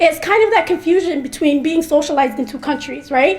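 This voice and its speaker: This woman's high voice moves fairly quickly with lively intonation, and noticeable noise sits in the background. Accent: American. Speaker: mental health researcher. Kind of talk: speech. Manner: fast.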